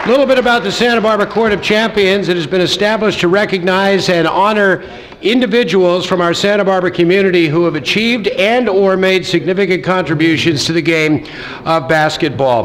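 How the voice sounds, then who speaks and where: A man speaks at a fairly quick pace with a high pitch and ordinary pitch variation. His loudness stays very even over light background noise. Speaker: event host. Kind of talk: formal ceremony welcome speech. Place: hall. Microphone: podium.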